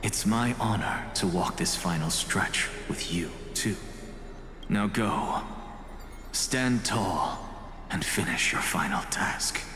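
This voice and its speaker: At a fairly slow pace, a man uses a put-on character voice with a fairly low pitch, with slight echo and loud background noise. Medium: fan dub. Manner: wry, measured.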